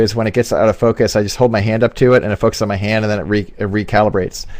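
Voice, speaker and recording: A man's very fast speech with fairly even intonation. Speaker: photographer and interview show host. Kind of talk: live video interview. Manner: loud.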